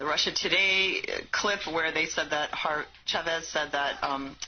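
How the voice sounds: A woman's low pitch, ordinary pitch variation and fairly slow pace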